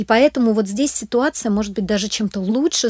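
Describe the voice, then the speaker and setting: A woman speaks in a normal speaking voice at a moderate pace with ordinary pitch variation. The sound is dry and close, with no echo, on a very clean recording with a silent background. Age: 40s. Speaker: charity program manager. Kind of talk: interview.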